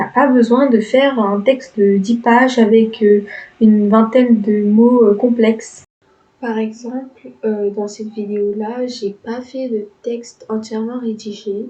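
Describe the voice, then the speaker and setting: Moving at a very slow pace, a woman speaks with a fairly high pitch. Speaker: architecture student youtuber. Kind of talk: tutorial. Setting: home recording, speaking into mic. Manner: hesitant, many filler words; lively, not monotone.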